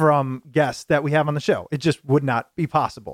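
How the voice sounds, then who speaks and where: A man speaks with a plain, everyday voice at a fairly quick pace and fairly high pitch. The sound is dry and close, with no echo. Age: 20s. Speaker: podcast host. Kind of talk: interview; show intro.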